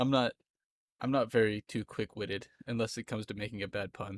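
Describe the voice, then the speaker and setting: Speaking at a moderate pace, a man with a slight Southern US accent has a fairly low pitch and monotone, flat intonation. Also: dry, close sound with no echo. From Florida, US South. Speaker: streamer. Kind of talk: casual chat. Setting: live stream.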